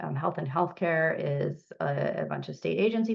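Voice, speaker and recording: This woman's voice carries vocal fry. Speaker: public health official. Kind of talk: presentation. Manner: fast; hesitant, many fillers.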